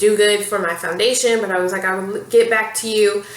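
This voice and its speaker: Over noticeable background noise and audible room echo, a woman talks at a fairly quick pace with a medium pitch. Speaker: beauty vlogger. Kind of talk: casual product review to camera. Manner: fast; animated.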